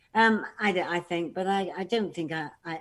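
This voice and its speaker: With a British accent, a woman speaks at a moderate pace in a fairly low voice. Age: 60s. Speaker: panel guest. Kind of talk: casual chat. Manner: halting.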